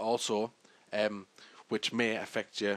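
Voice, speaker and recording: A man with a British accent talks at a fairly low pitch. The sound is dry and close, with no echo. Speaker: tutorial maker. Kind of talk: tutorial. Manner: halting.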